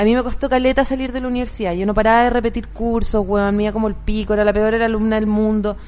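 At a very fast pace, a woman with a Chilean accent speaks at a fairly high pitch in a flat monotone, with noticeable background noise and audible room echo. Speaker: comedian and podcast host. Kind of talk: casual chat.

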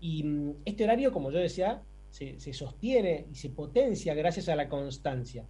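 A man's dark, mellow tone at a fairly high pitch, with lively intonation, vocal fry and a fairly slow pace. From Argentina, Buenos Aires. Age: 40s. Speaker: sleep medicine doctor. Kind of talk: interview.

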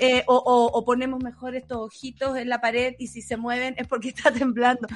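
This is a woman speaking. She has a Chilean accent. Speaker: radio host. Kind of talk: casual chat. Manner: animated.

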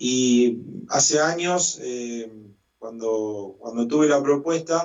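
The man's voice sits at a medium pitch and moves with ordinary variation. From Argentina, Santa Fe province. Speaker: musician and choir director. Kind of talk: interview. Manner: hesitant, many fillers.

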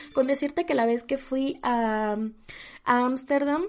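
A woman speaks with fairly even intonation. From Mexico, small town in Oaxaca. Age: 20s. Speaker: podcast host. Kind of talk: solo podcast monologue. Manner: casual, filler-heavy.

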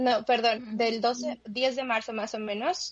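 Somewhat breathy, a woman with a fairly high pitch speaks at a very slow pace with ordinary pitch variation. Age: 20s. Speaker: guest who works with children. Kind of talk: casual chat.

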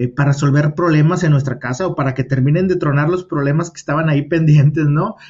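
Fairly high-pitched for a man, he speaks at a very fast pace with hardly any pauses and fairly even intonation. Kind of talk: casual interview. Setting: remote call.

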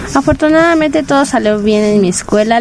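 A woman's fairly high voice with ordinary pitch variation amid noticeable background noise. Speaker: internet radio host for anime. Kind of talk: casual radio monologue. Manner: normally loud and shouty; quieter than usual, saving voice.

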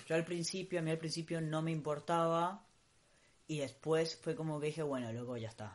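A man's fairly high voice at a fairly quick pace, an ordinary speaking voice with ordinary pitch variation, against a quiet background. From Costa Rica. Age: 30s. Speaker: podcast co-host. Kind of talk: casual chat. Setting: home recording, not a studio booth.

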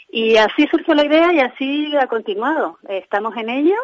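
Speech unfolds at a moderate pace. Very wide swings show up in the pitch. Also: woman. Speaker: handbag designer. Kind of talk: interview. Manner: halting.

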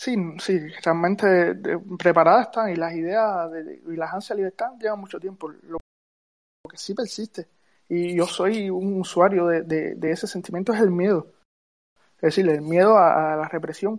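A woman speaks at a medium pitch. Her speech has long, frequent pauses. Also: fairly even intonation, moderate pace, big swings in loudness. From Cuba. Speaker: Cuban activist. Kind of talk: live audio space discussion.

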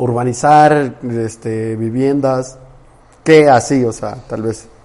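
A man at a medium pitch, very slow pace. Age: 20s. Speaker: podcast host. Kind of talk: interview.

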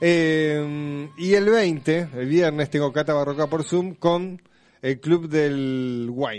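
Against a quiet background, a man uses an ordinary speaking voice, fairly high in pitch with ordinary pitch variation. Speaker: radio host. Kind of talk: casual chat.

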